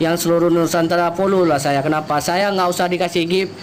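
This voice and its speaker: A man with an Aceh accent and a high voice speaks at a fairly quick pace against noticeable background noise. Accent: Acehnese. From Aceh, Indonesia. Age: 30s. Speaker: police officer. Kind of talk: live stream chat.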